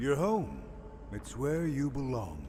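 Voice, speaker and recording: A man performs a put-on character voice. Clear background noise can be heard. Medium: video game. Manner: cryptic, coaxing.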